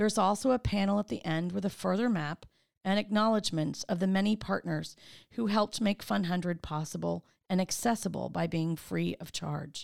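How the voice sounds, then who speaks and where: On a very clean recording with a silent background, an ordinary speaking voice shows ordinary pitch variation at a moderate pace. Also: woman, medium pitch for a woman. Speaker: tour guide and chamber of commerce CEO. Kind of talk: scripted audio walking tour narration. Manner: warm, polished, and clearly paced; formal and upbeat.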